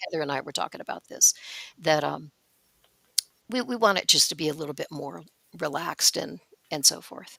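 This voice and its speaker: A woman with a very deep, low pitch, vocal fry and a bright, sharp tone talks at a fairly quick pace with lively intonation, big swings in loudness, and long, frequent pauses. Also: dry, close sound with no echo. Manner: casual, relaxed, lots of filler words.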